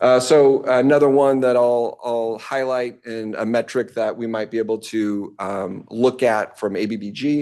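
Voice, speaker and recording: A man with a dark, mellow tone talks at medium pitch with fairly even intonation and hardly any pauses. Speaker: transit agency staff presenter. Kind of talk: board committee presentation. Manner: fast; many fillers (um, uh).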